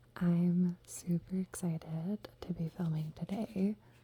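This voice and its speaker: Soft-spoken and somewhat breathy, a woman talks at a medium pitch in a gentle, dark, mellow tone with fairly even intonation. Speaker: ASMR content creator and book reviewer. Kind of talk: casual talk to camera about books. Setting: home setting with a dog running around. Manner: soft-spoken, gentle.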